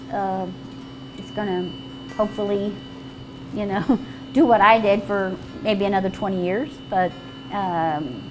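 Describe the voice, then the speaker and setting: Over noticeable background noise and audible room echo, a woman speaks at a fairly slow pace in a medium pitch. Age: 60s. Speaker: restaurant owner and cook. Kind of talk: casual cooking demonstration and interview.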